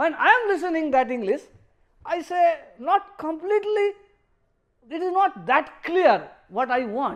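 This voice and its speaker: Fairly slow speech in a Bengali accent is broken up by long, frequent pauses. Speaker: professor. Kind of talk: lecture. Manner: halting, with many fillers.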